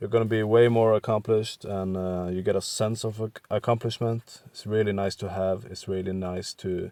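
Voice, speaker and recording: Speaking in a flat monotone at a moderate pace, the voice carries a Norwegian accent, with a dry, close sound and no echo. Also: man, fairly low pitch for a man. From western Norway. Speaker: art content creator. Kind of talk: tutorial. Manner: halting, with many fillers.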